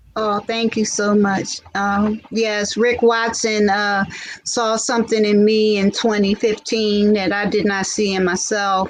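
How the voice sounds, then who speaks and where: Over noticeable background noise, a woman speaks at a fairly slow pace. Her medium-pitched voice is monotone, with flat intonation. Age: 60s. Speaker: pageant winner and singer-actress. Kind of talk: interview. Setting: Facebook live show. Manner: halting.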